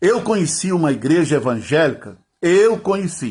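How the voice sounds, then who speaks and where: A man with a fairly high pitch sends his voice through very wide pitch swings. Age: 60s. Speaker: pastor. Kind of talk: sermon.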